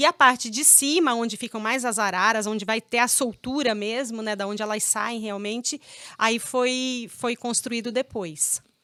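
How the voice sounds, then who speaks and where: At a moderate pace, a woman speaks in a bright, sharp tone, her fairly high pitch showing ordinary variation. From Paraná, Brazil, raised partly in Pirassununga, São Paulo. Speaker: veterinarian. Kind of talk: interview.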